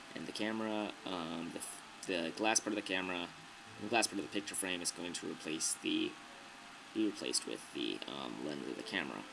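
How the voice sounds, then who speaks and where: A man with a very deep, low pitch talks at a fairly quick pace over noticeable background noise. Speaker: video tutorial maker. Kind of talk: tutorial. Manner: casual; stuttering, many fillers.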